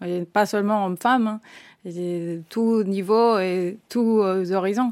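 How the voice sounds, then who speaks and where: At a very slow pace, a woman of medium pitch speaks with fairly even intonation on a very clean recording with a silent background. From Spain. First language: Spanish (speaking French). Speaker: engineering project manager. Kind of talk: corporate podcast interview.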